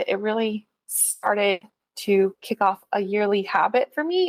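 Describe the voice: With a Californian accent, a woman speaks at a medium pitch, the sound dry and close with no echo.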